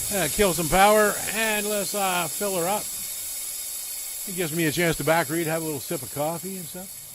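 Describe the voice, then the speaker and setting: Audible room echo surrounds a man with a high pitch who talks at a fairly quick pace, with ordinary pitch variation, big swings in loudness and long, frequent pauses. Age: 50s. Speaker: gaming streamer. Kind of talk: live gameplay commentary. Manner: casual, relaxed with frequent fillers.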